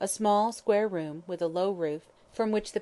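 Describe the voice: Someone is doing plain reading aloud. The pitch varies in an ordinary way.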